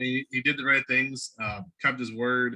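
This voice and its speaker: A man speaks with an American accent and a bright, sharp tone. His intonation stays fairly even. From Ohio, Cleveland. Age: 40s. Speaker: podcast host. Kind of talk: interview. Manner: casual.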